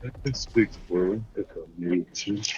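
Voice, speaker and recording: Over clear background noise, a man puts on a booming character voice, fairly low in pitch and delivered at a fairly slow pace. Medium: game stream. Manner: very slow, deliberate.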